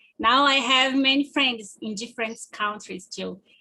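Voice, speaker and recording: Speaking at a moderate pace, a woman has a high, bright, sharp voice with ordinary pitch variation. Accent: Portuguese. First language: Portuguese. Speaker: student presenter. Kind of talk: presentation.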